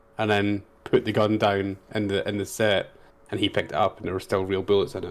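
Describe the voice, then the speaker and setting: A man's fairly low voice, monotone and flat, at a fairly quick pace. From Scotland. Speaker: podcast guest. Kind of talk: casual chat.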